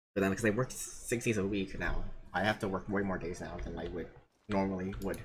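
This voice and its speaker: Speaking at a very fast pace, a man uses a fairly low pitch. His somewhat breathy voice has monotone, flat intonation. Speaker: streamer. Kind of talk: casual chat.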